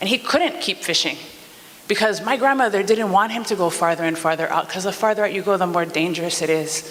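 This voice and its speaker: A voice with a Hawaiian accent over noticeable background noise. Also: fairly quick pace. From Hawaii, O'ahu (Nanakuli). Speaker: community member giving public testimony. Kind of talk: public testimony. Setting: public meeting.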